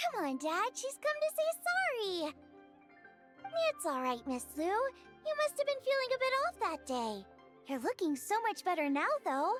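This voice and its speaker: A woman in a put-on character voice speaks at an extremely high pitch, her tone bubbly and energetic with very wide pitch swings. She keeps a moderate pace over clear music in the background. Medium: video game. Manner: bubbly, energetic.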